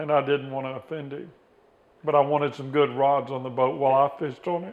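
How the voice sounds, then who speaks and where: At a fairly quick pace, a man with a normal speaking voice and fairly high pitch keeps his intonation fairly even while his loudness swings a lot. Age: 60s. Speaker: rod builder. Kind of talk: interview and tutorial.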